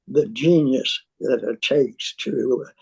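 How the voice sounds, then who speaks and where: A woman with an American accent in a dry, close recording with no echo. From US Northeast, New York City. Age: 80s+. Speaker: poet. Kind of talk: interview. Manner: articulate.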